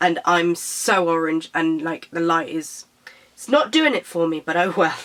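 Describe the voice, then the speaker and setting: A woman with a British accent speaks at a fairly slow pace, with fairly low pitch and ordinary pitch variation. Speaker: beauty vlogger. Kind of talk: casual product review vlog. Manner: hesitant, with fillers.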